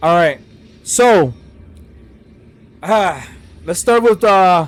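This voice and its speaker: Here a man speaks at a high pitch. His pitch varies in an ordinary way. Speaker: gaming YouTuber. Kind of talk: casual commentary video. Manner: rambling, halting with fillers.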